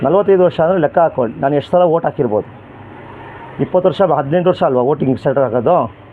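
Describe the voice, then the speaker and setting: Noticeable background noise sits behind a man whose voice is fairly high, with ordinary pitch variation. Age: 40s. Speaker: member of the public interviewed on the street. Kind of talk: vox pop opinion interview.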